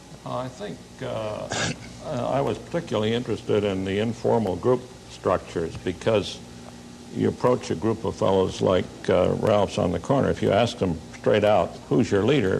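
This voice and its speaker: Against noticeable background noise, a man with a fairly low pitch uses very wide pitch swings and takes long, frequent pauses. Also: moderate pace. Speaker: sociology professor. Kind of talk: panel talk show discussion. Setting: tv studio with audience.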